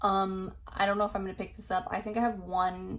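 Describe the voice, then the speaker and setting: A somewhat breathy woman's voice at medium pitch and a fairly quick pace. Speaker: beauty YouTuber. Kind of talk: casual product review vlog. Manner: casual, filler-heavy.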